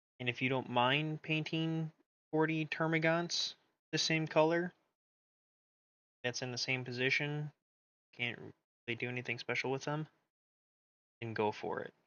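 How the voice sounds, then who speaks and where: Soft-spoken, a man talks at a moderate pace with fairly even intonation and long, frequent pauses. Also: fairly high pitch for a man. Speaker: miniature painting streamer. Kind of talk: casual chat. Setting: live stream.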